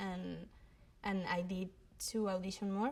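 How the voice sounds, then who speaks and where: At a fairly slow pace, a woman with a Spanish accent speaks in a somewhat breathy voice of medium pitch. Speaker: actress. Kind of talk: interview. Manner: halting.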